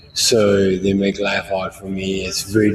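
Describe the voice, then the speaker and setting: A man's fairly low, somewhat breathy voice moves at a fairly slow pace with monotone, flat intonation. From South Africa, Johannesburg. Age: 30s. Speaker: homeless person interviewed on the street. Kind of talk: street interview.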